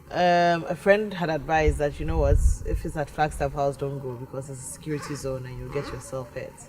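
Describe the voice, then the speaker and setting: A woman's very deep, low pitch with ordinary variation, big swings in loudness and a fairly quick pace, over noticeable background noise. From Ghana. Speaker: nonprofit founder and former vice presidential candidate. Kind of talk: interview.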